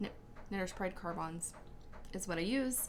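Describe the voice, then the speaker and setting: Audible room echo surrounds a woman speaking at a fairly slow pace. Her voice sits at a medium pitch with fairly even intonation. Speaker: knitting podcaster. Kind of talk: casual chat.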